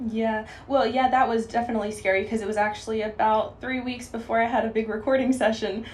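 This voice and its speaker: With audible room echo, a woman at a fairly high pitch talks at a very fast pace with hardly any pauses and monotone, flat intonation. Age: 20s. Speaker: singer and songwriter. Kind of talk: radio interview. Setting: radio studio.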